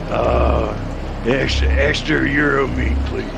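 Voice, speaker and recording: Amid loud background noise, a man does a put-on character voice at a fairly slow pace. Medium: actual play. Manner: casual, relaxed.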